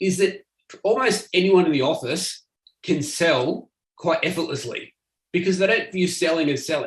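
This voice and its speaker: A man with an Australian accent speaks at a high pitch. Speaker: marketing agency owner. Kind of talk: presentation. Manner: fast.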